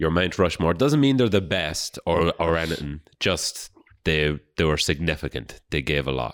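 A man's very deep, low voice with vocal fry, in a very clean recording with a silent background. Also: moderate pace. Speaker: podcast co-host. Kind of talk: casual banter chat.

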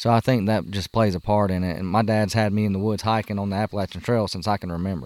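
A man with a Southern US accent talks at a very fast pace and fairly low pitch, with hardly any pauses and fairly even intonation. The recording is very clean, with a silent background and a dry, close sound with no echo. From US South. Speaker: hunter and outdoor YouTuber. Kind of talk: casual chat. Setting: outdoors around a campfire.

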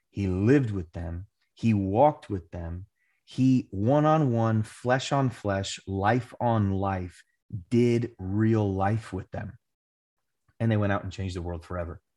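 Over a quiet background, a man with an unremarkable speaking voice talks fairly slowly at a fairly low pitch with ordinary pitch variation. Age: 30s. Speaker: pastor and author. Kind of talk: interview conversation.

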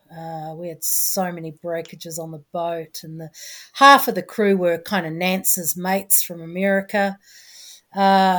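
The woman's intonation stays fairly even as she talks at a fairly slow pace. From New Zealand. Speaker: former ocean racing sailor. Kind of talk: interview. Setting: video call.

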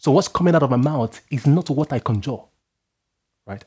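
Very fast, somewhat breathy male speech in a dark, mellow tone, fairly high in pitch with very wide pitch swings and a dry, close sound with no echo. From Nigeria. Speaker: preacher. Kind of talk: sermon.

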